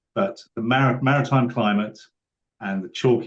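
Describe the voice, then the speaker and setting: A man speaks at a medium pitch. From United Kingdom. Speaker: malting barley farmer. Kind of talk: interview answer.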